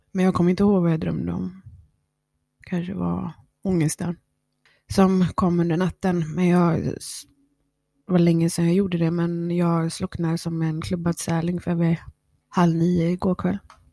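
A woman speaks at a moderate pace in a fairly low pitch, her tone dark and mellow. Her intonation is monotone and flat, with long, frequent pauses. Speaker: podcast host. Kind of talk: personal monologue. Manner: eating while talking.

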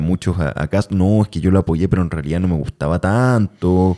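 Speaking at a moderate pace with a Chilean accent, a man has a very deep, low pitch and a dark, mellow tone, recorded with a dry, close sound and no echo. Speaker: podcast host and actor. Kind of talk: casual chat.

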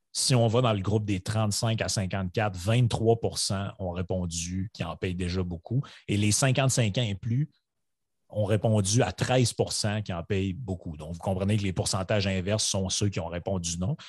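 A man speaks at a fairly slow pace with a fairly low pitch and ordinary pitch variation. His voice is somewhat breathy, and the background is quiet. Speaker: podcast co-host. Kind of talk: casual chat.

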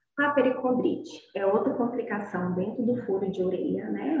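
Audible room echo surrounds a woman who speaks at a fairly slow pace with ordinary pitch variation. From Goiás, Brazil (Inhumas). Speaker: nurse. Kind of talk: online lecture.

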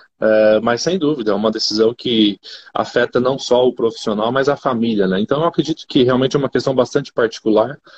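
A man with an ordinary speaking voice talks at a fairly quick pace and medium pitch with ordinary pitch variation. His loudness stays very even in a dry, close sound with no echo. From Brazil, Rondônia. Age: 30s. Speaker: agribusiness executive. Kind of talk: interview.

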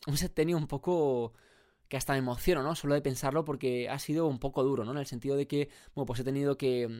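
A man's fairly high voice at a fairly quick pace, on a very clean recording with a silent background. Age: 20s. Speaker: podcast host. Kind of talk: solo motivational monologue. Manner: animated.

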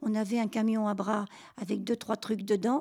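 Somewhat breathy, a woman speaks at a fairly slow pace on a very clean recording with a silent background. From Normandy, Caen. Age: 80s+. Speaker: WWII childhood survivor. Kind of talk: testimony. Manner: halting.

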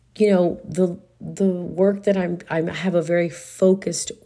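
Her voice fairly low with a dark, mellow tone, a woman speaks with fairly even intonation. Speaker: life coach and podcaster. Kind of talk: personal monologue broadcast.

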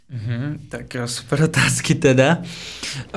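The speaker is a man with a slight Russian accent. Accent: barely noticeable Russian. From Russia, Moscow. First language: Russian (speaking Czech). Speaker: podcast guest, former international student. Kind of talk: casual chat.

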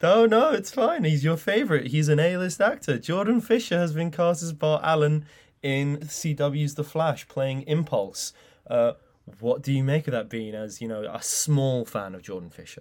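In an English accent, a man with a fairly high pitch speaks at a moderate pace with very wide pitch swings and big swings in loudness, on a very clean recording with a silent background. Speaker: film news podcast co-host. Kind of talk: casual news discussion podcast.

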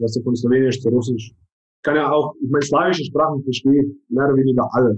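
A man with a medium pitch talks at a very fast pace with hardly any pauses, his voice somewhat breathy, his intonation fairly even and his loudness swinging widely. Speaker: business professional. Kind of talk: casual chat.

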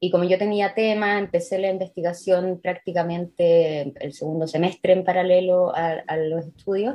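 In a normal speaking voice, the speaker keeps a moderate pace with hardly any pauses and fairly even intonation. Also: woman, medium pitch for a woman. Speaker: historian. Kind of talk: interview.

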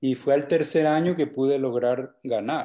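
A man speaks at a fairly slow pace with a fairly high pitch and a dark, mellow tone. His intonation is fairly even, and the recording is very clean with a silent background. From Colombia, Valledupar (Cesar). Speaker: vallenato songwriter. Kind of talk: casual chat.

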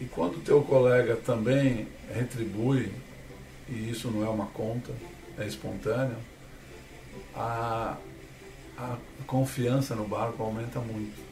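Audible room echo surrounds a man speaking at a medium pitch and a fairly slow pace, with fairly even intonation and long, frequent pauses. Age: 60s. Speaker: sailor and speaker. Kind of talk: interview.

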